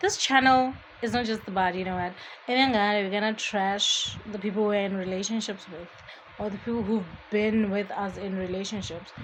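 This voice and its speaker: A woman mumbles at a fairly quick pace with fairly even intonation and medium pitch. Audible room echo and noticeable background noise come through. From Botswana. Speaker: podcast host. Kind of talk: casual monologue. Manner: mumbling; chatty.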